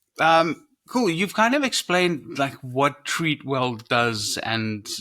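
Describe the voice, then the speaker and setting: A man is speaking. His tone is bright and sharp. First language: not English. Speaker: podcast host. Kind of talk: podcast interview.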